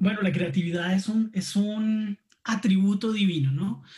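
With very even loudness and a dark, mellow tone, a man speaks fairly slowly at a high pitch, showing ordinary pitch variation. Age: 30s. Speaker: graphic designer. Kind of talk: casual chat.

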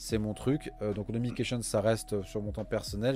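This man's voice is fairly low. Its tone is dark and mellow. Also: very clean recording, silent background. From France. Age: 30s. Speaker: executive recruiter and podcast co-host. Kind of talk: casual interview chat.

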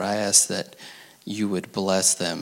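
A man speaks with a fairly low pitch. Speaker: pastor. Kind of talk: prayer and church service hosting. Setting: church.

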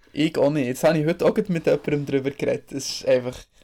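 A man talks with a Bernese accent. His pace is very fast. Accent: Bernese Swiss German dialect. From Switzerland, Bern. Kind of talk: casual chat.

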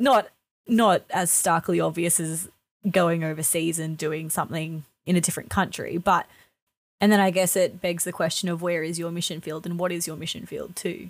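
At a moderate pace and with fairly even intonation, the speaker talks in an Australian accent in a very clean recording with a silent background. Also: woman, fairly low pitch for a woman. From northern New South Wales, Australia. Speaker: book club podcast co-host. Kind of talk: casual chat.

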